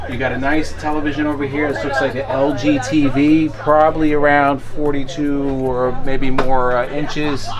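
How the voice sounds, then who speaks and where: With crowd noise in the background, a man speaks at a fairly slow pace. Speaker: RV reviewer. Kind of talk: walkthrough tour commentary. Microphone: phone near.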